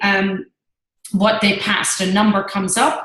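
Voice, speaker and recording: Here is a woman with an Irish accent. Her voice is somewhat breathy. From Ireland. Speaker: network marketing team leader. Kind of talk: team training presentation.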